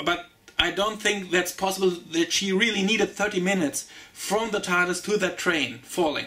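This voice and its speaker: A man with a German accent uses a raised, projected voice at a high pitch and a moderate pace. His intonation is fairly even, with noticeable background noise behind him. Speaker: TV show reviewer. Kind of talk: casual review monologue. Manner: halting, many fillers.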